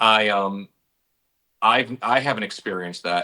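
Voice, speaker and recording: Recorded very cleanly against a silent background, a man with an American accent talks at a fairly slow pace in a bright, sharp tone with fairly low pitch. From western New York, US. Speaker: actor. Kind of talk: casual chat.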